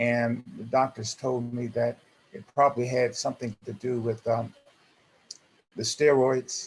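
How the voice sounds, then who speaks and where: A man of medium pitch with monotone, flat intonation, a fairly slow pace, long, frequent pauses and big swings in loudness. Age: 70s. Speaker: support group member, transplant patient. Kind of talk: group discussion on video call. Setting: video call. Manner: halting, many fillers.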